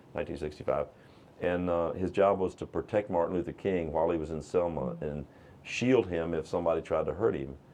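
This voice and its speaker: Vocal fry marks a man's very deep, low voice with a dark, mellow tone, in an American accent at a fairly quick pace. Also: ordinary pitch variation. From Virginia. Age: 60s. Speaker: economic development foundation leader. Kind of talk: interview conversation.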